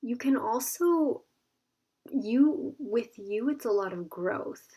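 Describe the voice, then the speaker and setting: Lively intonation paired with a dark, mellow tone. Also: woman. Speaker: tarot card reader. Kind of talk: pick-a-card tarot reading. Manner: casual, filler-heavy.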